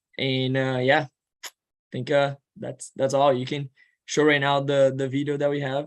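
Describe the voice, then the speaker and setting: This man speaks with a Portuguese accent and a fairly high pitch. His pace is moderate. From Brazil. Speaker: student and admissions counselor. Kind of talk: informational presentation. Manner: halting.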